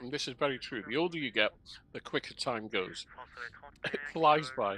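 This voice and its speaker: A man's fairly high, bright and sharp voice with lively intonation at a moderate pace. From northern England, Bolton. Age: 70s. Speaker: flight sim streamer. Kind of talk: casual live stream chat. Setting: home. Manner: relaxed, rambling.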